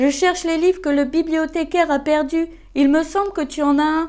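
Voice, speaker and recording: Using a put-on character voice, a woman speaks at a moderate pace with extremely high pitch. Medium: read story.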